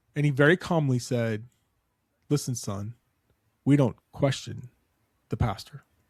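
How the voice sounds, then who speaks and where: With an American accent, a man speaks at a medium pitch and a fairly slow pace, somewhat breathy, with ordinary pitch variation and long, frequent pauses, in a dry, close sound with no echo. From Florida. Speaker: podcast host. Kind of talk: casual chat. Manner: animated storytelling.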